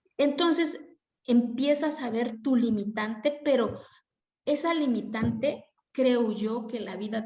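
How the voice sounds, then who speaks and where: A somewhat breathy woman in an Oaxacan accent, with ordinary pitch variation. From Mexico, Oaxaca Zapotec community. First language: Zapotec (speaking Spanish). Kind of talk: interview. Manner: animated, colloquial.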